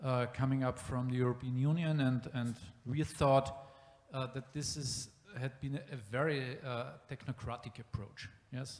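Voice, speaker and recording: A man speaks in a German accent at a medium pitch. His intonation is fairly even, and his pace is moderate. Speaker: city planning official. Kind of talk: panel discussion. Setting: exhibition room with live audience. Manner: halting.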